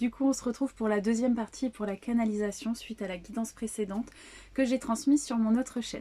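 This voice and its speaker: A woman speaks at a moderate pace with a fairly high pitch. Her tone is dark and mellow, and her voice is somewhat breathy. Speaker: psychic medium / tarot channeler. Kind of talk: spiritual channeling reading to viewers. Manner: soft-spoken; hesitant, many fillers.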